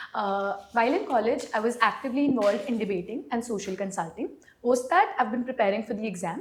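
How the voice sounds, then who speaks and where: A woman speaks at a very fast pace in a fairly high pitch, her tone energetic. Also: lively intonation. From India, Gurugram, Haryana. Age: 20s. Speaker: civil services exam candidate. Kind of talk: mock job interview.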